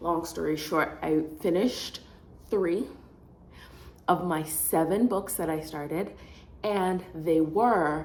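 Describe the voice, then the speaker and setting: A woman with a fairly low pitch is heard with audible room echo. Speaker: student vlogger. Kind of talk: casual vlog talk. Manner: rambling, self-correcting.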